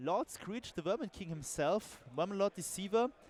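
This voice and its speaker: Speaking with a German accent, a man uses lively intonation in a high voice. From Germany. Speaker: tabletop game commentator. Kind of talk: live commentary. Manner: halting.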